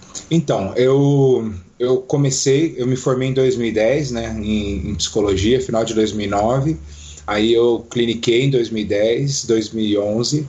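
Somewhat breathy and very slow, the voice moves with ordinary pitch variation. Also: man, medium pitch for a man. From Brazil, Foz do Iguaçu (Paraná). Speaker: psychologist and pastor. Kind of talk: casual interview.

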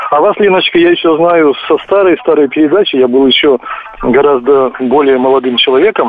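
Noticeable background noise accompanies a man speaking fairly quickly at a fairly high pitch, with ordinary pitch variation and very even loudness. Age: 60s. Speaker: caller. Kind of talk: phone-in call. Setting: phone call.

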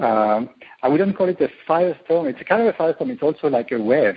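Speaking fairly quickly, a man talks with a French accent. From France. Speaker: tech company co-founder. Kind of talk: interview. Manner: halting.

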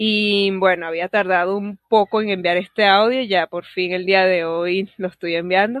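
A woman speaks at a fairly slow pace with hardly any pauses, her pitch medium and her intonation fairly even. She has an unremarkable speaking voice. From Venezuela. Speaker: podcast listener. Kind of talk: recorded voice message. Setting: voice message recording.

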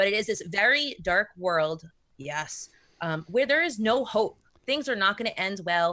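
Speaking with an American accent, a woman with a medium-pitched voice and a bright, sharp tone moves at a fairly slow pace through very wide pitch swings. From US Northeast, Rhode Island. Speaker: tabletop role-playing podcaster. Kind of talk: casual chat.

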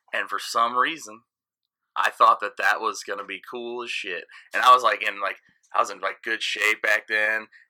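His loudness swings widely as the man talks at a moderate pace. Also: very clean recording, silent background. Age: 30s. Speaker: DJ. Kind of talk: casual chat.

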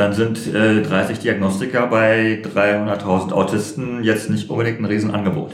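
Over noticeable background noise and audible room echo, a man talks fairly slowly at a fairly low pitch, flat and monotone, with very even loudness and hardly any pauses. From Berlin, Germany. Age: 40s. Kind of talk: interview. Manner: halting, many fillers.

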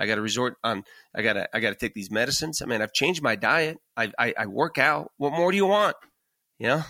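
On a very clean, dry, close recording with a silent background and no echo, a man with a bright, sharp tone and medium pitch talks at a very fast pace with very wide pitch swings. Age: 50s. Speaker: podcast co-host, cancer patient. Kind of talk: casual conversation.

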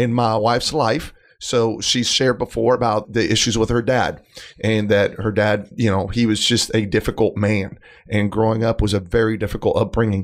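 Speaking at a moderate pace, a man with a medium pitch keeps his loudness very even and his intonation fairly even. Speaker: husband of a co-host. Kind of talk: casual chat. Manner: self-described poor conversationalist.

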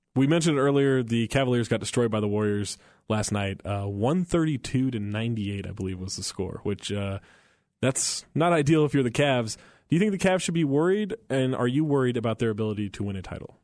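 A man's plain, everyday voice, medium in pitch, with an American accent, lively intonation and a quiet background. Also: fairly quick pace. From Northern California. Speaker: sports radio host. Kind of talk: casual chat.

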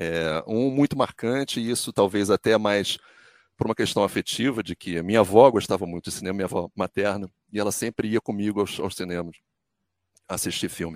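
A man's fairly low-pitched, unremarkable speaking voice at a fairly quick pace, with ordinary pitch variation, in a dry, close sound with no echo and a very clean recording with a silent background. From Brazil. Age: 50s. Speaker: sports commentator and journalist. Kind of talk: interview.

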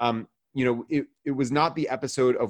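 A man with an ordinary speaking voice talks in an American accent at a moderate pace. His intonation is fairly even, and the background is quiet. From US South, Georgia. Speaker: rabbi and podcast host. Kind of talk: casual chat. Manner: many fillers and repetitions.

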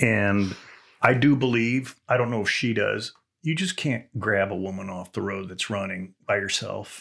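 A man with a Texan accent and fairly low pitch, with ordinary pitch variation, a fairly slow pace and a very clean recording over a silent background. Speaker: retired police officer and TV analyst. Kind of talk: casual chat. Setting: studio.

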